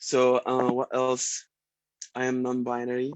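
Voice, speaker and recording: Recorded dry and close with no echo, a man with an Arabic accent speaks at a medium pitch. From Egypt. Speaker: sound healer and musician. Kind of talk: self-introduction in a group video call. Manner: halting, many fillers.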